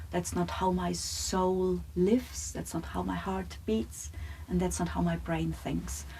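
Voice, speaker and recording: A woman speaks at a fairly slow pace with a German accent. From Germany. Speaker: psychologist and lecturer. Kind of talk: podcast conversation. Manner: direct.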